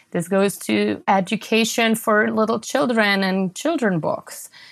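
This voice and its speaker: Heard in a very clean recording with a silent background, a woman speaks in a medium pitch with a German accent. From Germany (southwest, near Stuttgart). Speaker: entrepreneur and author. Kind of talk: interview.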